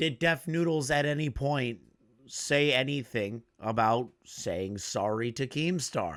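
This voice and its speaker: At a very slow pace, a man speaks in a medium pitch. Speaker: drama commentary YouTuber. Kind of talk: angry reaction commentary. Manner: heated, sarcastic.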